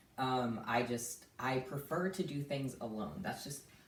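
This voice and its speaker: A woman's very deep, low pitch with ordinary pitch variation, in audible room echo. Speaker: vlogger. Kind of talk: casual vlog. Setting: at home.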